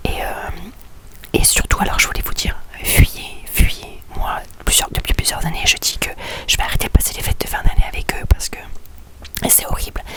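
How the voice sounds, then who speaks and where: Whispering at a moderate pace, a woman leaves long, frequent pauses while her loudness swings widely over noticeable background noise. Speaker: vlogger. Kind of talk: personal vlog confession. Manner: quiet, speaking softly; hesitant, many fillers.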